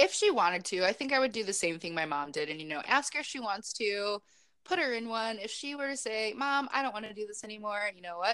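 A woman speaks very fast in a fairly high voice with a bright, sharp tone. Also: lively intonation. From Chicago. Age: 20s. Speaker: pageant titleholder and behavior therapist. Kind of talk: interview.

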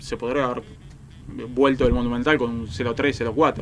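This man's voice sits at medium pitch. Its intonation is fairly even. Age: 20s. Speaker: football commentator. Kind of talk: casual chat.

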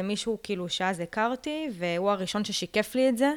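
Here is a woman with a plain, everyday voice at a medium pitch and ordinary pitch variation. She talks at a moderate pace on a very clean recording with a silent background. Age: young. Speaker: lawyer. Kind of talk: podcast interview.

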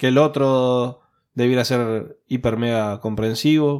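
On a very clean recording with a silent background, a man in a Rioplatense accent talks with fairly even intonation. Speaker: podcast host. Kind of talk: casual chat; podcast outro.

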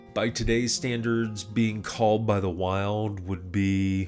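A man at a fairly slow pace with fairly even intonation, music in the background. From England. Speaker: podcast host and audiobook narrator. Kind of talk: casual commentary on a book.

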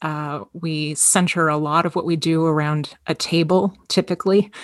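A woman with a Canadian accent has a plain, everyday voice and fairly low pitch, speaking at a fairly slow pace. The sound is dry and close with no echo, over a quiet background. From Toronto, Canada. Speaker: ministry director working with homeless people. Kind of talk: interview conversation.

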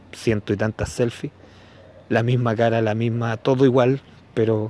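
A man with a medium pitch talks fairly slowly. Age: 40s. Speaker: podcaster. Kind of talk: casual monologue commentary. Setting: outdoors, walking in the street. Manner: halting, with many fillers.

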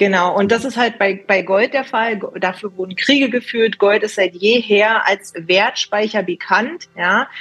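A woman speaks with hardly any pauses in a plain, everyday voice. Her pitch is medium, with ordinary variation. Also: fairly slow pace. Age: 20s. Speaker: precious metals consultant. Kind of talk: interview.

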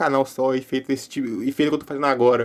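A man rattles along very fast at a fairly high pitch. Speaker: YouTuber and podcast host. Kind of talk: casual solo podcast monologue. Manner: casual and informal.

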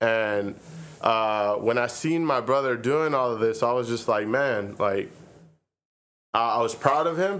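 A man with an American accent talks at a fairly slow pace and medium pitch, with ordinary pitch variation and long, frequent pauses. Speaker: rapper and community youth worker. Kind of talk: casual interview. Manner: slow, drawn-out talker.

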